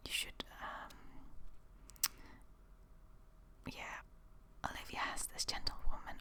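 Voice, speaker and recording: The speaker whispers very slowly, with long pauses that come often. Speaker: ASMR creator. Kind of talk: rambling ASMR talk to camera. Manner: whispered.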